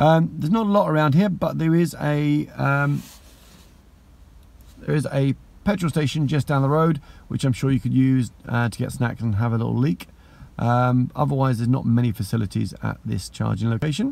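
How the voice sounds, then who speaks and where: A man talks at a moderate pace, the sound dry with no echo. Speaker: electric car vlogger. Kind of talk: casual vlog chat. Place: car. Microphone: phone near.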